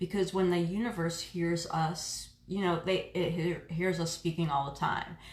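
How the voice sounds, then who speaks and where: A woman's fairly low, monotone, flat voice at a moderate pace with hardly any pauses, amid noticeable background noise and audible room echo. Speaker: reiki practitioner and oracle card reader. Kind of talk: live stream card reading. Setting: live stream from home reiki room. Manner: casual, chatty with fillers.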